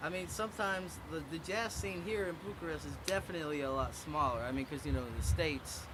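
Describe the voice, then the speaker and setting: Talking at a very fast pace with hardly any pauses, a man with an American accent and a fairly high pitch uses lively intonation amid audible room echo and noticeable background noise. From US South. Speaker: jazz drummer. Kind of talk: interview. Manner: casual, halting with fillers.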